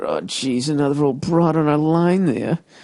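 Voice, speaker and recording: A man's put-on character voice, gruff and rumbling, fairly high in pitch, at a moderate pace with fairly even intonation. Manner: gruff, grumbling, complaining.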